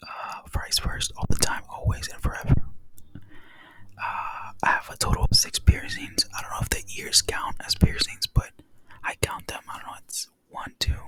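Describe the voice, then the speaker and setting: Someone whispers at a moderate pace. Noticeable background noise is present. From Texas. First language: Spanish. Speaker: ASMR creator. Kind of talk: casual chat. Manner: soft-spoken.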